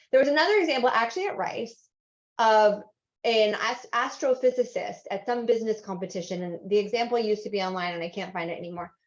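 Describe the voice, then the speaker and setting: Talking at a very fast pace with big swings in loudness, a woman speaks with an American accent. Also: fairly high pitch for a woman, ordinary pitch variation. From Southern California. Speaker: workshop instructor. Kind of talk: online workshop. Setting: video call. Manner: animated.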